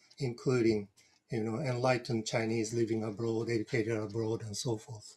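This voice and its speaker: A man with a Japanese accent speaks in a somewhat breathy voice. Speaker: retired professor; panelist, council member. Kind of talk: panel presentation. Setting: video call. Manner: halting, repeats words. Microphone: video call.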